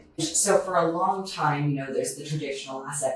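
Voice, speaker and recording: A woman's voice with audible room echo. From Canada. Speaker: asset management executive. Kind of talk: podcast interview.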